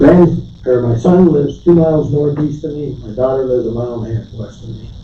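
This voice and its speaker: A man's medium-pitched voice at a moderate pace, ordinary pitch variation, audible room echo and noticeable background noise. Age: 70s. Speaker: landowner addressing county board. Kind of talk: public meeting comment. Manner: halting, repeats words.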